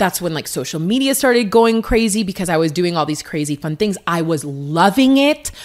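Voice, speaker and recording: Very wide pitch swings and an animated tone at a fairly quick pace, over noticeable background noise. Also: woman, medium pitch for a woman, hardly any pauses. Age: 30s. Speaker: fitness coach and former athlete. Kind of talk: casual chat.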